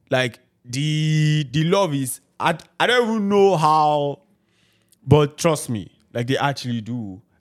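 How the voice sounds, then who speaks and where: With a Nigerian accent, the voice moves at a very slow pace with lively intonation. The recording is very clean and the background silent. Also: man, fairly high pitch for a man. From Nigeria, Ibadan. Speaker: podcast host. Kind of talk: casual chat.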